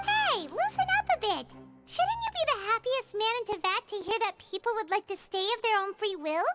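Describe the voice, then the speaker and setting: A squeaky, put-on character voice sits at an extremely high pitch. The pace is moderate. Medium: video game. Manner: bubbly, fast.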